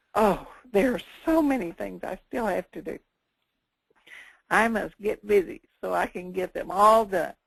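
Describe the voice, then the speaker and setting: Speaking at a fairly slow pace with long, frequent pauses, a woman uses lively intonation at a medium pitch, her loudness swinging widely and her voice showing vocal fry. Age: 70s. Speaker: customer giving a product testimonial. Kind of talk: testimony. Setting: conference call. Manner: halting.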